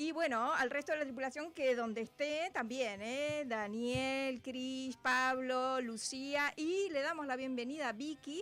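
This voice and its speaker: At a fairly slow pace with hardly any pauses, a woman speaks at a high pitch with ordinary pitch variation. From Uruguay. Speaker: radio host. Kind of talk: radio show chat. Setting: radio studio, televised.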